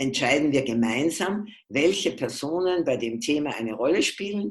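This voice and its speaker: A woman is speaking. Her pitch swings very widely. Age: old. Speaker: physician and family constellation therapist. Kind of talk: interview.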